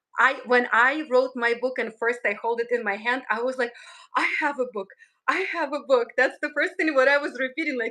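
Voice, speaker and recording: Fairly quickly, a woman talks in a raised, projected voice, high in pitch and bright, sharp in tone. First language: not English. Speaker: numerologist. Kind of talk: live stream conversation.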